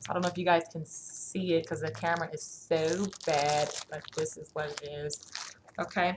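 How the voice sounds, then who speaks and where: A moderate pace and fairly even intonation, with big swings in loudness and noticeable background noise. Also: woman, fairly low pitch for a woman. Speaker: nursing student vlogger. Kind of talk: casual show-and-tell vlog.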